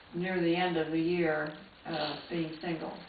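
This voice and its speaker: Audible room echo surrounds a woman with an American accent and a fairly low pitch. She talks at a fairly slow pace. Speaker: retired nurse and nursing teacher. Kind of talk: life story interview. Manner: halting, with many uh fillers.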